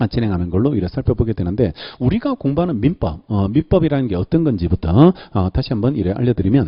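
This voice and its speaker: Pitch swings very widely as a man talks at a very fast pace, his medium-pitched voice somewhat breathy. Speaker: law lecturer. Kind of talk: lecture. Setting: classroom with microphone. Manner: frequent filler sounds.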